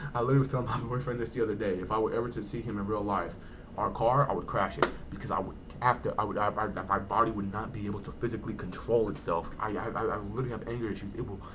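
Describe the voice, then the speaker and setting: A man speaks very fast at a fairly low pitch with fairly even intonation. The recording has audible room echo and noticeable background noise. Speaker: vlogger. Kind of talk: personal storytelling vlog. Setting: home, early morning. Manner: hesitant, repeats words.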